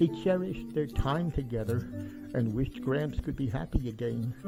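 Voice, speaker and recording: With music behind it, the voice moves along at a moderate speed. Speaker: amateur storyteller reading his own short story. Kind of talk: read short story narration. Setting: camera microphone, some plosive pops.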